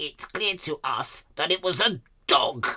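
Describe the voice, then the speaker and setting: Someone performs a put-on character voice. It sits at a middle pitch. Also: fairly slow pace. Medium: read story. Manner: buzzing.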